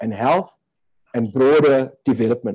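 Against a quiet background, a man speaks at medium pitch. His tone is dark and mellow. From South Africa. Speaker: health advocacy director; webinar speaker. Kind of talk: opening address. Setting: video call. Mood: earnest, reflective. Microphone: video call.

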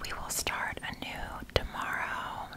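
The voice of a woman comes through as a whisper. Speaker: ASMR creator. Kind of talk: ASMR shopping haul talk to camera. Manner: whispered. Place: home room. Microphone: studio mic.

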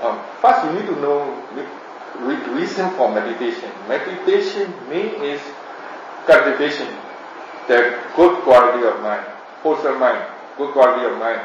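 Long, frequent pauses break up the speech, heard with audible room echo and light background noise. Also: man, moderate pace. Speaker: meditation teacher. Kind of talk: teaching talk, answering questions. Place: home room. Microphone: camera far.

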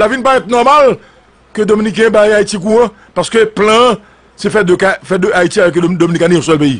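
At a very fast pace and high pitch, a man talks with ordinary pitch variation and very even loudness. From Haiti. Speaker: political commentator. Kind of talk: political commentary monologue. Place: studio. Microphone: studio mic.

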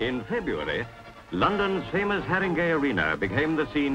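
Music runs underneath the voice. Delivery comes at a fairly quick pace. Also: man. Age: 1957 recording. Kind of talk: newsreel narration.

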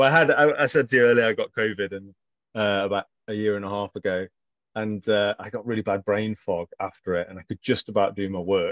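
A man's fairly low voice with an English accent, fairly quick, with ordinary pitch variation and big swings in loudness, dry with no echo, against a quiet background. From English Midlands. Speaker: author. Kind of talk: casual interview chat. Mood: relaxed, animated gestures. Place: home room. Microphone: video call.

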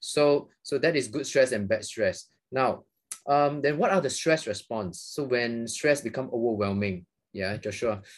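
A man talks fairly slowly, his pitch rising and falling in an ordinary way, with a quiet background behind him. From Malaysia. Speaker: psychiatrist. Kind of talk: interview. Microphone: video call.

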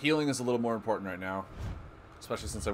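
Intonation rises and falls in a lively way. The reading aloud sounds natural.

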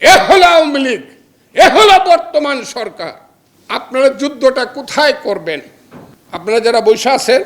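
An animated man speaks at an extremely high pitch with very wide pitch swings. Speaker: lawyer and opposition politician. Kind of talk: political speech. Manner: animated, fiery.

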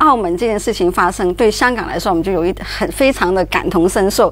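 Lively intonation shapes speech delivered at a fairly quick pace. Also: woman. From Hong Kong. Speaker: journalist. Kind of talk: talk show discussion. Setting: studio. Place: studio.

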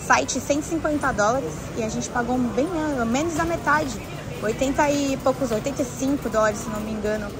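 The speaker talks at a fairly slow pace with ordinary pitch variation. The sound is dry with no echo, and background noise is noticeable. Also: woman. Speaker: travel live streamer. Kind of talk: casual live stream chat, reading viewer comments. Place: shop.

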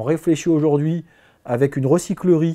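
In a quiet background, a man's voice comes through with a dark, mellow tone. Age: 40s. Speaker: business owner. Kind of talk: interview testimony. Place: office. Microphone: lapel.

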